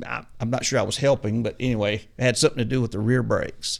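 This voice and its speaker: The recording is very clean and the background is silent. A man talks in a Southern US accent. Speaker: auto mechanic turned ministry mechanical trainer.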